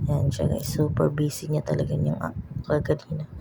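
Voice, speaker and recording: Soft-spoken, a woman talks. Her pace is moderate. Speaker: vlogger. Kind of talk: vlog voice-over.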